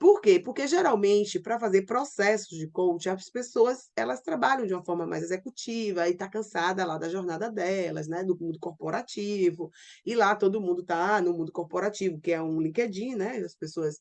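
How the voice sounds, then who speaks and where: A woman speaks in a normal speaking voice at medium pitch, with ordinary pitch variation, a moderate pace and hardly any pauses over a quiet background. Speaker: online business coach. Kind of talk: online class. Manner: informal.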